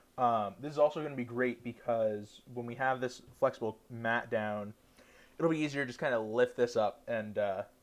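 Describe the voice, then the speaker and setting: A man speaks at a moderate pace in an unremarkable speaking voice, his medium pitch carried by fairly even intonation. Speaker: cooking livestreamer. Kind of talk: cooking tutorial. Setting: livestream from dorm room.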